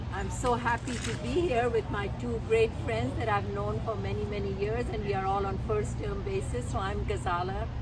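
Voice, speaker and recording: Very wide pitch swings at a moderate pace with hardly any pauses, amid noticeable background noise and audible room echo. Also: woman, very deep, low pitch for a woman. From Pakistan. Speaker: physician and mosque member. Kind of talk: guided tour talk. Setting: outdoors. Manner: hesitant with many fillers.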